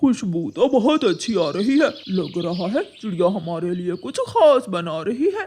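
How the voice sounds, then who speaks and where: In a cartoonish character voice at a middle pitch, the speaker moves at a moderate pace with hardly any pauses. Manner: jolly, loud.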